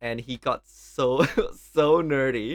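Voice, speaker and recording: In a strong Thai accent, a man speaks at a medium pitch with ordinary pitch variation, recorded very cleanly against a silent background with a dry, close sound and no echo. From Thailand. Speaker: podcast co-host, PhD student. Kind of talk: casual chat.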